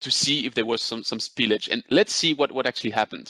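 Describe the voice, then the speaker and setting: A man with a French accent speaks in a bright, sharp tone with a dry, close sound and no echo. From France. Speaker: business development manager presenting a webinar. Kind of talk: webinar presentation. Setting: video call webinar. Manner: hesitant with many fillers.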